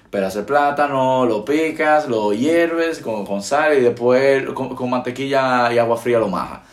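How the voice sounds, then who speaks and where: Noticeable noise hums in the background. The delivery moves at a moderate speed, its pitch varying in an ordinary way. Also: man. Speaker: podcast host. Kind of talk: casual chat. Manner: projected, announcer-like tone.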